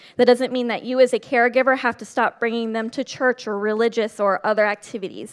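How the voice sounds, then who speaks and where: Talking at a fairly quick clip, a woman with a fairly high voice is heard in a dry, close recording with no echo, very clean and with a silent background. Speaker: state program coordinator. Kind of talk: conference presentation. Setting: stage with audience. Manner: animated.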